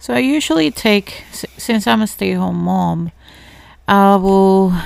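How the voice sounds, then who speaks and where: In a very clean recording with a silent background, a woman with a Spanish accent speaks at a very slow pace. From Ecuador. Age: 30s. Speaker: podcast host, stay-at-home mother. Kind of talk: casual chat. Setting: home bedroom.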